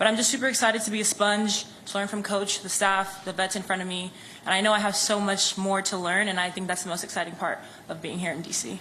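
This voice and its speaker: A woman talks at a very fast pace with fairly even intonation. Audible room echo and noticeable background noise surround her. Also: medium pitch for a woman. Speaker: professional basketball player, draft pick. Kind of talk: press conference answers.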